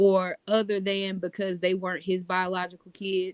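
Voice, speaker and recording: At a fairly slow pace, a woman with an American accent speaks in a flat monotone at a medium pitch, with a dry, close sound and no echo. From North Carolina, US South. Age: 30s. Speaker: podcast co-host. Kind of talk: casual chat.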